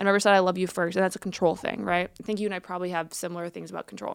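Recorded very cleanly against a silent background, a woman talks very fast at a medium pitch with vocal fry. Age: 20s. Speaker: guest talking about mental illness and addiction. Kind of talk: casual chat.

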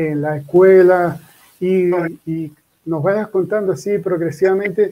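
A man's high-pitched voice, dark and mellow in tone, at a fairly slow pace with fairly even intonation. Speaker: interview show host. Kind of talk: interview hosting. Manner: halting, many repetitions. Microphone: echo, own voice repeating.

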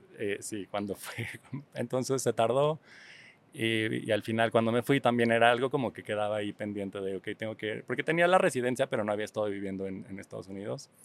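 Recorded with a dry, close sound and no echo, a man uses a normal speaking voice at a medium pitch with ordinary pitch variation. He talks at a fairly quick pace, with big swings in loudness. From Mexico City. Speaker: visual artist and exhibition organizer. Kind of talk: casual interview.

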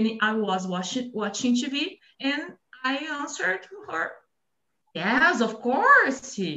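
Lively intonation marks a high-pitched woman with a Brazilian accent. She talks at a very slow pace with long, frequent pauses. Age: 40s. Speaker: micro entrepreneur and announcer. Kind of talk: casual conversation practice. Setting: video call.

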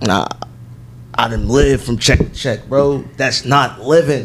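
Noticeable background noise runs beneath a man who talks fairly slowly. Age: 20s. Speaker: clothing store co-owner. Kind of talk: casual chat.

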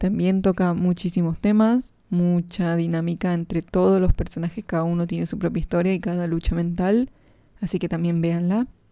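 A woman speaks at a moderate pace, her pitch fairly low and her tone dark and mellow. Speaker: podcast host. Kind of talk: casual monologue.

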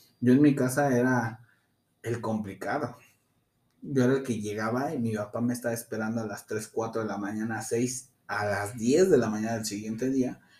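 A man's medium-pitched voice at a moderate pace, with fairly even intonation and an ordinary speaking voice. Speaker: practitioner of an Afro-Caribbean religion. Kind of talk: interview.

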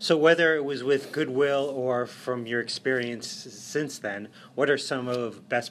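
At a moderate pace, a man speaks in an ordinary speaking voice at a medium pitch with ordinary pitch variation. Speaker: podcast host. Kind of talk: interview conversation.

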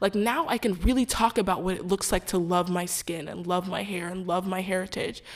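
A woman with an unremarkable speaking voice of medium pitch talks at a fairly quick pace with ordinary pitch variation, in a very clean recording with a silent background. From Houston, Texas. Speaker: podcast host. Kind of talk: casual faith discussion.

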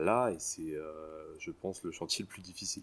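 Very deep and low, a man's voice holds a fairly even intonation. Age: 30s. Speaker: freemason. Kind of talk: interview. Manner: halting.

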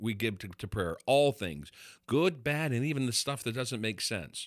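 Over a very clean recording with a silent background, a man in an ordinary speaking voice talks at a medium pitch and moderate pace, his intonation lively. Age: 50s. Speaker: pastor and podcast host. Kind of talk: casual chat.

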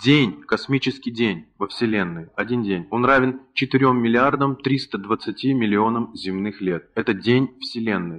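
Over a quiet background, a man speaks at a very slow pace with a medium pitch and ordinary pitch variation. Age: 30s. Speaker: spiritual lecturer. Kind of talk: lecture.

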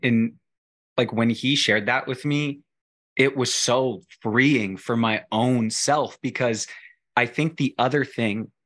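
At a fairly slow pace, the speaker uses ordinary pitch variation against a quiet background. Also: man. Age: 30s. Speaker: faith social media influencer. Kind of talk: casual chat.

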